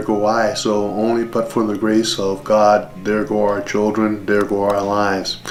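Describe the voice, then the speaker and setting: Music plays in the background as a man speaks at a fairly low pitch, with audible room echo. His intonation is monotone and flat, and his pace is moderate. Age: 60s. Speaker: father telling his life story. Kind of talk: interview. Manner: reflective, measured.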